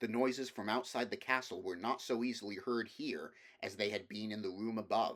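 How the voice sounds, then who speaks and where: A man with a plain, everyday voice speaks at a moderate pace and medium pitch on a very clean recording with a silent background. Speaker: audiobook reader. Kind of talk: audiobook reading of a fantasy novel.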